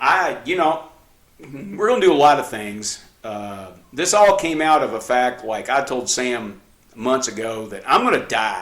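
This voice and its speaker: A man speaks with very wide pitch swings and big swings in loudness. Room echo and background noise are both noticeable. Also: medium pitch for a man. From New Mexico. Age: 60s. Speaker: podcast co-host, father giving practical tips. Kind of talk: casual chat. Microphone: cheap camcorder, mics switched.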